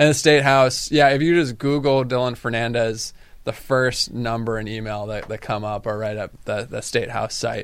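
A man with medium pitch speaks in a plain, everyday voice at a moderate pace, his intonation fairly even. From Massachusetts, Cape Cod (Falmouth). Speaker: state politician. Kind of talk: radio interview.

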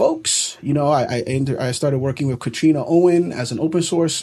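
With an American accent, a man speaks at a fairly quick pace and fairly high pitch, his tone dark and mellow, somewhat breathy, with fairly even intonation. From New York City. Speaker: developer community organizer. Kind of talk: interview.

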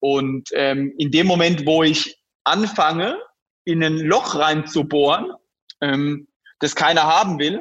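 The man's pitch sits fairly high. He talks at a very slow pace. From rural Germany. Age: 20s. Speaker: startup founder and CEO. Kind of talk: interview.

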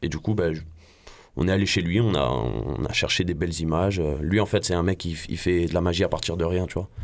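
On a very clean recording with a silent background, a man with a very deep, low pitch and vocal fry talks at a fairly quick pace with ordinary pitch variation. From Marseille, France. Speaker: rapper. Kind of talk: interview.

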